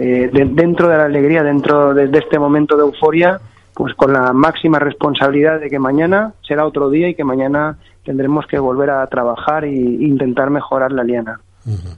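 Fairly high in pitch, a man's voice carries. His intonation stays fairly even. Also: moderate pace. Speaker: mayor. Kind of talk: phone interview.

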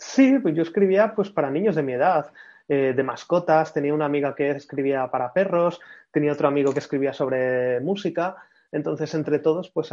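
A man's plain, everyday voice, fairly high in pitch, at a moderate pace with ordinary pitch variation. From Spain, Madrid. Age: 30s. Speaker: brand consultant and writer. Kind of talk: casual interview. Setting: video call.

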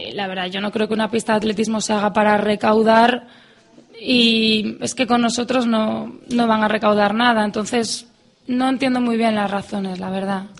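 Over noticeable background noise, a woman talks at a moderate pace in a fairly high pitch with a monotone, flat intonation. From Asturias, Spain (Avilés). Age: 20s. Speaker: athlete. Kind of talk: radio interview.

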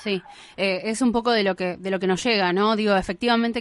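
Speaking at a fairly quick pace in a Rioplatense accent, a woman uses ordinary pitch variation. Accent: Argentine Rioplatense Spanish. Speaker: radio host. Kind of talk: radio interview. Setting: radio studio.

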